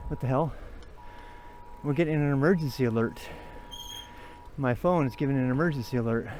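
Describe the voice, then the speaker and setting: He speaks at a fairly quick pace, with ordinary pitch variation and a fairly high pitch for a man. Long, frequent pauses break up his speech. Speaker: cycling vlogger. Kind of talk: casual vlog narration while riding. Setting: outdoors on a bike.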